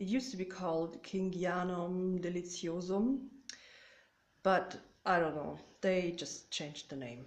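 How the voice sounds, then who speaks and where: A woman with a German accent speaks at a fairly slow pace, with long, frequent pauses, ordinary pitch variation, big swings in loudness and a medium pitch, in a room with audible echo. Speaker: orchid hobbyist vlogger. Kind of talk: casual show-and-tell vlog. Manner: hesitant, many fillers.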